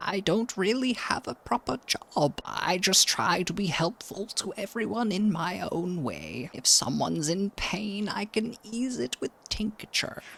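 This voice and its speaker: Middle-pitched, put-on character voice. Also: fairly slow pace. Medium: virtual streamer. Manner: sweet, calls others dear.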